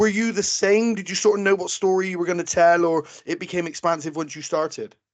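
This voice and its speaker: A man with a Bristol accent talks very fast in a high voice, with hardly any pauses. His loudness swings widely while his intonation stays fairly even. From England, Bristol. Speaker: podcast host. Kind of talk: interview.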